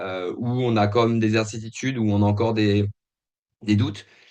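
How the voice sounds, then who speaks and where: This man's voice sits at a medium pitch as he talks at a moderate pace. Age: 40s. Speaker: company founder. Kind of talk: interview. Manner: halting, many hesitations.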